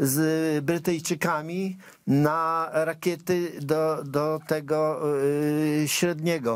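Flat and monotone, a man speaks at a very slow pace with a fairly high pitch. The sound is dry with no echo, and the background is quiet. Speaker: TV political commentator host. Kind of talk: political commentary chat. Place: studio. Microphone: lapel.

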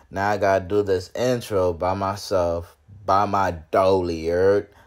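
The background is quiet as a man talks. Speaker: vlogger host. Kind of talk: casual vlog chat. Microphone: phone near.

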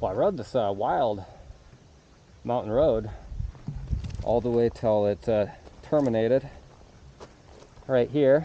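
Fairly slow male speech with long, frequent pauses and ordinary pitch variation, dry with no echo, light background noise. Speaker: rider vlogger. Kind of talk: casual vlog chat. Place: forest. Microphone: phone near.

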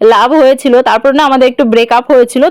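Noticeable background noise behind a woman's high voice, ordinary pitch variation, and a dry, close sound with no echo. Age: 20s. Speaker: lifestyle vlogger. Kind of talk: casual vlog narration. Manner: chatty, warm.

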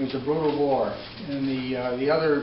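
Noticeable background noise sits behind a man speaking with monotone, flat intonation. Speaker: presenter. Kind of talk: lecture. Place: meeting room. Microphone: camera far.

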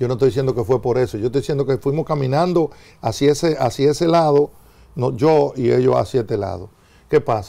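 A man with a dark, mellow tone talks at a fairly quick pace with ordinary pitch variation. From Dominican Republic. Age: 60s. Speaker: former government minister. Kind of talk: TV interview. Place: studio. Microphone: lapel.

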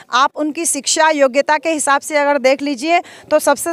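A woman speaks in a high pitch with a monotone, flat delivery, the sound dry and close with no echo. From Azamgarh, eastern Uttar Pradesh. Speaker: election candidate and professor. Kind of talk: campaign interview. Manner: impassioned, speech-like.

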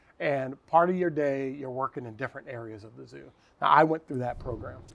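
With an American accent, a man speaks at a fairly quick pace, medium pitch and ordinary pitch variation. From US Midwest (Cincinnati, Ohio). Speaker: zookeeper. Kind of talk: casual interview. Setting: outdoors.

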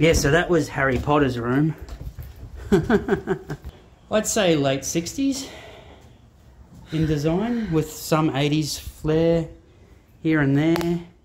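Delivered at a very slow pace with long, frequent pauses, the speech has light background noise. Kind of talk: casual vlog chat. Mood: joking, curious. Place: empty room. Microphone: phone near.

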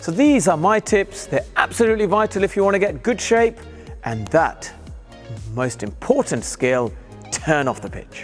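Faint music plays behind a man speaking in a high pitch. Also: moderate pace. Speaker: cricket coach. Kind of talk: tutorial. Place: hall. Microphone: lapel.

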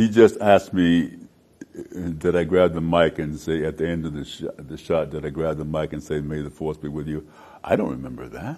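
Vocal fry at a moderate pace, with an American accent. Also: man. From United States. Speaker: actor. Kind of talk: interview answer. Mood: warm, reminiscing, animated. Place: studio. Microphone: lapel.

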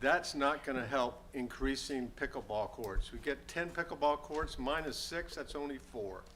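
A man with a fairly high pitch and a bright, sharp tone shows vocal fry and ordinary pitch variation. He moves at a moderate pace with hardly any pauses. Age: 70s. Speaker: public commenter at city council meeting. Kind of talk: public comment. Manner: halting, many fillers.

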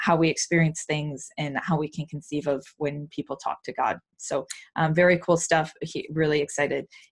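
A woman with a very deep, low pitch talks at a moderate pace in a monotone, flat intonation. Her voice is somewhat breathy over a quiet background. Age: 30s. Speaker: podcast host. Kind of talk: interview. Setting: home recording studio.

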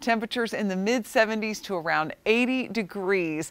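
A woman with a medium-pitched voice speaks in a warm, upbeat tone with lively intonation, her dry sound free of echo against a quiet background. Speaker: TV weather forecaster. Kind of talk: weather report. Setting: TV studio. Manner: conversational, warm and upbeat, with a smooth, steady forecasting pace. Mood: friendly, upbeat. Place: studio.

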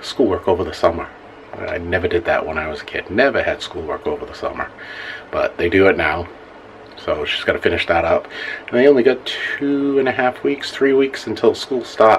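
At a moderate pace, a man speaks with long, frequent pauses over light background noise. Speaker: vlogger. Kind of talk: casual vlog chat. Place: bathroom. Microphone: phone near.

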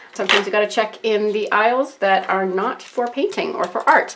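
A woman talks with lively intonation. Noticeable background noise is present. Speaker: art tutorial YouTuber. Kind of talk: tutorial. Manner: rambling, scattered. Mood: enthusiastic, relaxed.

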